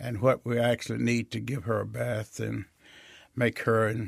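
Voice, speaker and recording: A man with a Mississippi Delta accent, in a dry, close sound with no echo and a very clean recording with a silent background. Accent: Mississippi Delta Southern US. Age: 80s+. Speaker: state senator. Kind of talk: interview.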